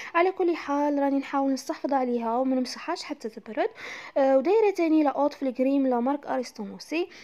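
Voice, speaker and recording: A woman's high, dark and mellow voice in an Algerian accent, fairly quick, with ordinary pitch variation. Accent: Algerian Arabic with French loanwords. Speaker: home vlogger. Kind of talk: casual talk to camera, home tour. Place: kitchen. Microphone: phone near.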